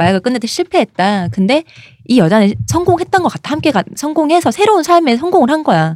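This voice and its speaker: This woman's voice is high and moves fairly quickly. Its pitch swings very widely. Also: dry, close sound with no echo. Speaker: podcast co-host. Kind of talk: casual chat.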